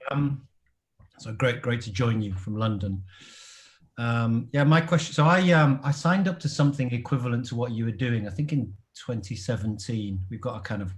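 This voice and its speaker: In an English accent, a man talks at a moderate pace with a medium pitch. His voice is somewhat breathy, with lively intonation. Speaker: product and packaging designer. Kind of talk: audience question in online panel. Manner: hesitant, many fillers.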